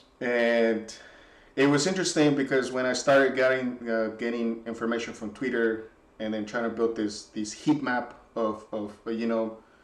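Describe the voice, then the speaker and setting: With a Spanish accent, a man talks at a medium pitch with fairly even intonation, and audible room echo is present. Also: moderate pace. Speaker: software developer. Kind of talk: casual reflective monologue. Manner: halting, many repetitions and fillers.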